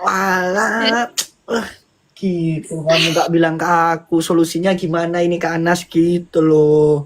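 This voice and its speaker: This man talks at a fairly slow pace in a Madurese accent. His voice is high-pitched with fairly even intonation. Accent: Madurese Indonesian. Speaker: fellow live streamer. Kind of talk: casual chat.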